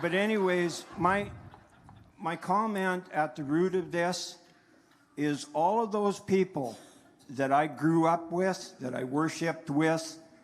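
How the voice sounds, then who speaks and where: A high-pitched man with a western Canadian accent at a very slow pace, with long, frequent pauses. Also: ordinary pitch variation. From northern Alberta, Canada. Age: 60s. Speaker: farmer rancher, town hall audience member. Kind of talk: public comment at a town hall. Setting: town hall with audience, microphone.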